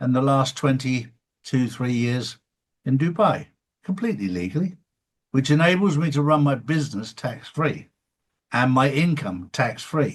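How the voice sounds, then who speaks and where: A man with an East Anglian accent speaks at a moderate pace, his fairly high pitch carrying lively intonation and a somewhat breathy quality. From England (Suffolk). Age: 60s. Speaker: show host. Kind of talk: interview.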